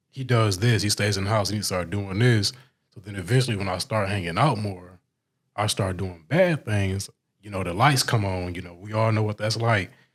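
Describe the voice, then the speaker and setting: A man with a fairly low pitch, a somewhat breathy voice, big swings in loudness and ordinary pitch variation, at a moderate pace, in a very clean recording with a silent background. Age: 20s. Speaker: rapper. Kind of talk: interview.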